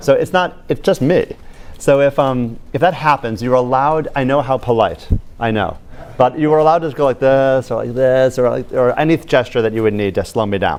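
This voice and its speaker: Speaking with an American accent, a man of medium pitch goes at a fairly quick pace with ordinary pitch variation. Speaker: medical school professor. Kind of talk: lecture. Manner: fast; animated.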